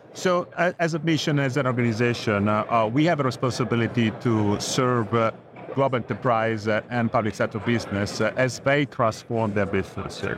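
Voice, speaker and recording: Noticeable background noise sits behind a man speaking at a moderate pace. His voice is medium in pitch and very even in loudness. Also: ordinary pitch variation. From Italy. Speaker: telecom executive. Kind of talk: interview answers. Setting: conference event.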